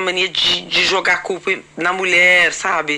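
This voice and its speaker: Noticeable background noise sits behind the voice. A woman with medium pitch speaks at a fairly slow pace. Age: 50s. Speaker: podcast host. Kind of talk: casual chat.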